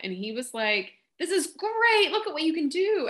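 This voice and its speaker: With a Kentucky accent and a bright, sharp tone, a woman swings her pitch very widely over a quiet background. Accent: Southern drawl, Kentucky. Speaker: podcast guest, book marketing consultant.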